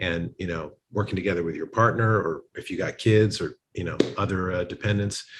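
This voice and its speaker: Against a quiet background, a man speaks at a moderate pace and a fairly low pitch with fairly even intonation. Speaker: relationship coach. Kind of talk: interview answer. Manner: sincere, grounded.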